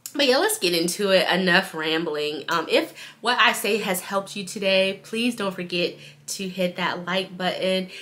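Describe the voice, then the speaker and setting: A woman's medium-pitched voice with ordinary pitch variation over noticeable background noise. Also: moderate pace. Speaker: spiritual vlogger. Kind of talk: casual vlog monologue.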